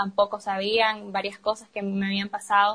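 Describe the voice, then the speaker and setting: A woman speaks at a fairly slow pace. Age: 20s. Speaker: university student. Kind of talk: personal testimony in casual chat.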